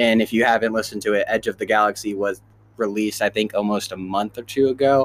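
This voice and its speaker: Speaking very fast in a monotone, flat way, a man with an American accent has a fairly low pitch. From Kansas City area, US Midwest. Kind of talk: casual chat.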